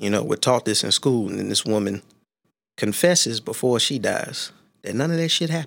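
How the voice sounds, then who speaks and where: A man's unremarkable speaking voice at medium pitch, fairly quick and with lively intonation, in a very clean recording with a silent background. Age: 30s. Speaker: podcast co-host, martial artist. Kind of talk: casual chat.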